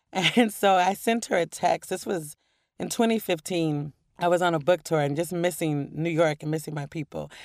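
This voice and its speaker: A woman's ordinary speaking voice with an American accent, fairly low in pitch, ordinary pitch variation, moderate pace, and a very clean recording against a silent background. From Portland, Oregon. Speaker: author. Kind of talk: interview.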